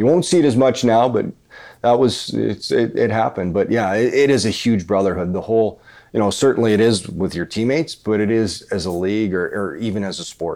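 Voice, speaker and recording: A man with a Canadian prairie accent, a dark, mellow tone, fairly low pitch and fairly quick pace. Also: ordinary pitch variation. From Canada, rural Manitoba. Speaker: retired hockey player and TV commentator. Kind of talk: casual chat.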